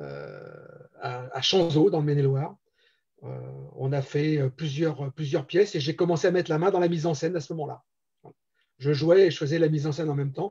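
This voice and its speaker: Fairly high in pitch with a dark, mellow tone, a man speaks with fairly even intonation. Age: 60s. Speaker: amateur theatre director and actor. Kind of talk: interview. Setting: live-streamed show. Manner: hesitant, many fillers.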